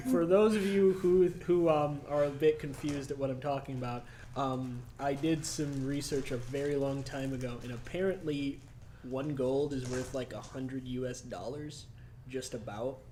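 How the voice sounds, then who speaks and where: Soft-spoken and dark, mellow in tone, a man talks at a moderate pace with a fairly high pitch and ordinary pitch variation. Audible room echo is present. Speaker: dungeon master. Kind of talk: tabletop game narration. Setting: livestream. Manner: quiet.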